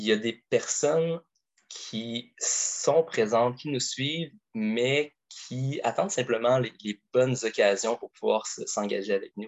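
Very slow speech from a man, medium in pitch, its pitch varying in an ordinary way. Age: 20s. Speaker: environmental activist and graduate student. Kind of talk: interview conversation. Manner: halting, frequent repetitions.

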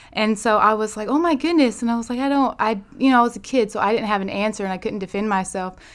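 In an Arkansas accent, a woman talks at a very fast pace with a fairly high pitch. The recording is very clean, with a silent background. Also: ordinary pitch variation, hardly any pauses. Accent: Southern US (Arkansas). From US South, northeast Arkansas. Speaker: pastor's daughter and church minister. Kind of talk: casual chat.

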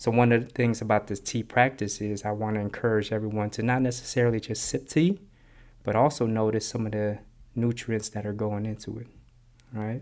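On a very clean recording with a silent background, a man with an American accent and an unremarkable speaking voice talks at a fairly quick pace with fairly even intonation. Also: medium pitch for a man. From West Oakland, California. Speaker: community youth worker. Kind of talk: guided meditation; interview.

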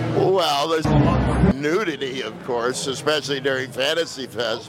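A man speaks at a moderate pace with an American accent. Noticeable background noise runs under the recording. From Ohio, near Youngstown. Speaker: bar worker. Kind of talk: casual chat. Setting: outdoors.

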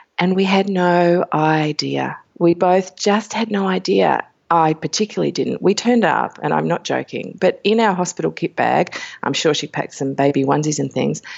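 With an Australian accent, this woman talks at a moderate pace. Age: 40s. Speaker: birth educator and magazine editor. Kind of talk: interview.

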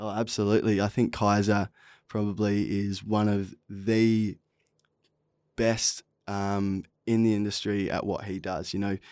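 Over a very clean recording with a silent background, a man with an Australian accent speaks at a fairly slow pace in a fairly low pitch, his intonation monotone and flat, with long, frequent pauses. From Western Australia (Esperance, then the Pilbara). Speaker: singer-songwriter. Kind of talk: casual podcast interview. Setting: studio.

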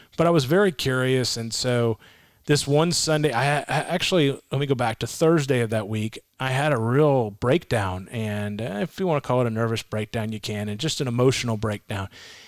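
A man with a normal speaking voice and an American accent talks at a fairly quick pace with medium pitch and ordinary pitch variation, recorded very cleanly against a silent background with a dry, close sound and no echo. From Florida. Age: 40s. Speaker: pastor. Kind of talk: testimony. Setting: at his home.

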